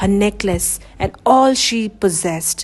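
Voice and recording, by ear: A woman speaks at a medium pitch and a slow pace. Her pitch varies in an ordinary way.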